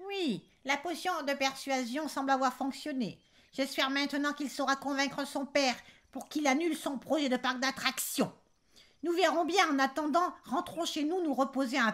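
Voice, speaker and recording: A female-sounding voice performs a put-on character voice. It is high-pitched and moves at a moderate pace. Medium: read story. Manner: gruff, brusque.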